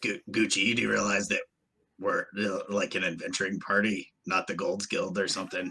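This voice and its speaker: Putting on a character voice, a man talks at a moderate pace in a raspy, fairly low voice. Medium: actual play.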